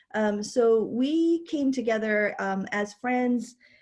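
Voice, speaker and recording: A woman speaks at a fairly high pitch with ordinary pitch variation and is somewhat breathy. The background is quiet. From immigrant, raised in New York City. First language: not English. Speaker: dean of students, keynote speaker. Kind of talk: keynote presentation. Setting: virtual conference.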